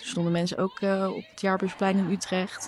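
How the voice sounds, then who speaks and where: A woman speaks with monotone, flat intonation. Noticeable background noise sits behind her. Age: 20s. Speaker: intern. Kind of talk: casual chat.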